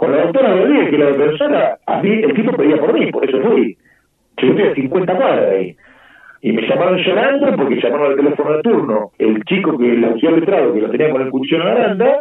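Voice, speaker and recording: Talking at a fairly quick pace, a man with a fairly high voice swings very widely in pitch while his loudness stays very even. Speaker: family court judge. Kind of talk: radio interview.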